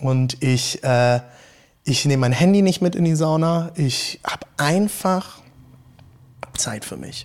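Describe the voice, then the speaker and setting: Pausing long and often, a man speaks very slowly at a fairly high pitch. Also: ordinary pitch variation. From Rhineland-Palatinate, Hunsrück. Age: 30s. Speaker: pastor. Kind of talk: casual interview chat. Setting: in a church, in person. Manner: talkative.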